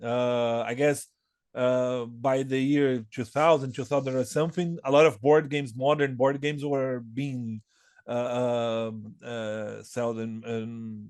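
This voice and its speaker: A man with a Portuguese accent speaks at a fairly slow pace. His intonation stays fairly even. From Brazil, São Paulo. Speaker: board game designer. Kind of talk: interview. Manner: halting, many repetitions and fillers.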